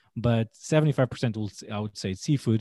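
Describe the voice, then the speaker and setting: A man speaks with a Portuguese accent at a fairly quick pace. The recording is very clean, with a silent background and a dry, close sound with no echo. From Portugal. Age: 30s. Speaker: chef. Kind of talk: interview.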